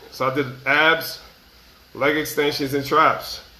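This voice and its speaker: In a room with audible echo, a man speaks in a fairly high voice with monotone, flat intonation. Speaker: motivational vlogger. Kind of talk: casual motivational monologue. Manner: casual, repetitive.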